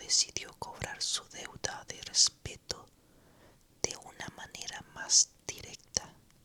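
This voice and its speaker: Very slowly, someone is whispering, with noticeable background noise present. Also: long, frequent pauses. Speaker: ASMR storyteller. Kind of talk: whispered ASMR story narration. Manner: whispered, soft, slow.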